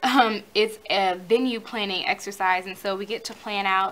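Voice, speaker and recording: In an ordinary speaking voice, a woman with a medium pitch speaks at a fairly slow pace. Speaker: college student vlogger. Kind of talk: tutorial.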